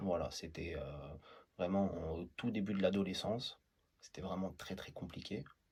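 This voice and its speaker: A man with a very deep, low pitch sounds somewhat breathy, with ordinary pitch variation. He takes long, frequent pauses. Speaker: TikTok creator. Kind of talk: interview answer.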